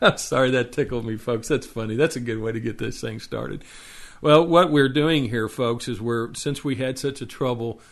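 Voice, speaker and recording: A man with a Texas accent, medium in pitch, with fairly even intonation. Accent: Texas drawl. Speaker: web TV show host. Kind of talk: casual show intro. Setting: live internet stream. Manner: halting, many fillers and repeats.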